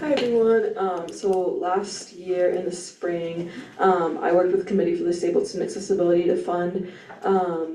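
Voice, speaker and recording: A woman speaks at a medium pitch and moderate pace with fairly even intonation, over noticeable background noise and audible room echo. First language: not English. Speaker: student senator. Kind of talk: meeting report.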